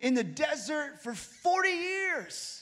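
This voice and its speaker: A man talks in a raised, projected voice with an animated tone. His tone is bright and sharp, and audible room echo surrounds it. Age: 30s. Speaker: pastor. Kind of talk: sermon. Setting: church.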